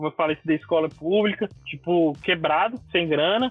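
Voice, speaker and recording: A man's pitch rises and falls in an ordinary way while music plays behind him. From Brasília, Brazil. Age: 20s. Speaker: graffiti artist. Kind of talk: casual interview.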